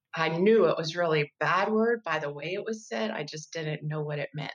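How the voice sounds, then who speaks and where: Her voice sits very deep and low, and a woman's pitch rises and falls in an ordinary way. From raised in Italy and Germany, US military family. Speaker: professor and race communication educator. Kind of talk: interview on faith and race.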